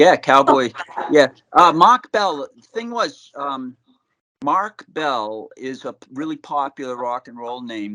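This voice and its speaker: A man with a Boston accent speaks in a bright, sharp tone at a medium pitch. His pace is moderate, with ordinary pitch variation, and the sound is dry and close with no echo. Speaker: rock musician. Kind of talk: interview. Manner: halting.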